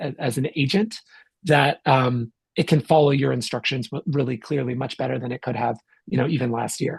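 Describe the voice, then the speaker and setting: Speaking at a fairly quick pace, a man with vocal fry uses a medium pitch and ordinary pitch variation. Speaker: tech executive. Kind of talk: podcast interview. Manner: halting with many repetitions.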